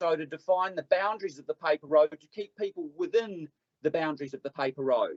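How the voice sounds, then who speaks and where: A man with a New Zealand accent, animated in tone, with lively intonation and a fairly quick pace. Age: 50s. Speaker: public submitter at council hearing. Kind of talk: public submission at council hearing. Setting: council meeting room.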